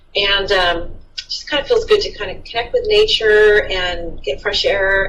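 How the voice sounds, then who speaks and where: Audible room echo around a woman's fairly slow delivery. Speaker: city librarian. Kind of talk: interview. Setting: office. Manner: loud.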